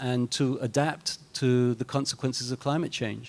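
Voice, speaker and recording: Heard on a very clean recording with a silent background, a man speaks at a moderate pace and medium pitch in a monotone, flat delivery. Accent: British. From Britain. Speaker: panelist. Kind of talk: panel discussion.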